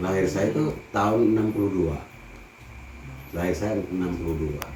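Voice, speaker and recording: Speaking at a fairly quick pace yet with long, frequent pauses, a man with a very deep, low pitch is heard in audible room echo. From Banten, Indonesia (rural Lebak). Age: 60s. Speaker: farmer. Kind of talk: interview. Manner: casual.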